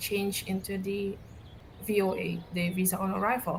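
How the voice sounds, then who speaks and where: In an Indonesian accent, a woman talks at a moderate pace and medium pitch. Her intonation is monotone and flat. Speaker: podcast co-host. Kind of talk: casual chat.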